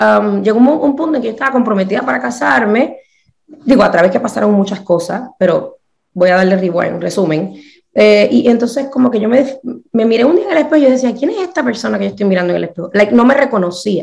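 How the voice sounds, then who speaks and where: Delivered at a very fast pace, the voice has lively intonation and vocal fry. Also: woman, fairly high pitch for a woman. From Puerto Rico. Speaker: numerologist. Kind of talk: interview, casual chat. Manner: animated.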